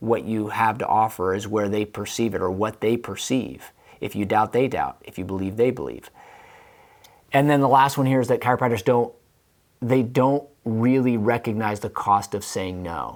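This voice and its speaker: A man's animated, medium-pitched voice with ordinary pitch variation. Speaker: chiropractor and business coach. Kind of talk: online video talk. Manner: fast.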